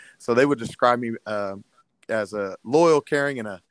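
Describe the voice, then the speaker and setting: A Midwestern US accent at a moderate pace with ordinary pitch variation, in a dry, close sound with no echo, on a very clean recording with a silent background. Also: man. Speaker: middle school history teacher and football coach. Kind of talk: casual interview.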